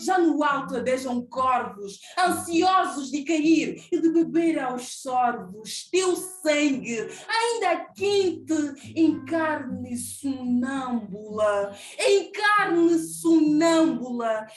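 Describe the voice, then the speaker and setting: A woman speaks at a high pitch and a very slow pace, with hardly any pauses. Her pitch swings very widely. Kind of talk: poetry reading.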